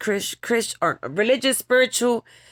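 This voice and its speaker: A woman speaks in a New York accent with vocal fry. The recording is very clean, with a silent background. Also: dry, close sound with no echo. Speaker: vlogger. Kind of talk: personal vlog monologue. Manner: emotional, halting.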